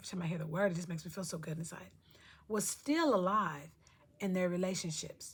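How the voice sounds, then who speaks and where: A somewhat breathy woman's voice at medium pitch, in a very clean recording with a silent background. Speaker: lifestyle vlogger. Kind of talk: casual vlog talk. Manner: fast.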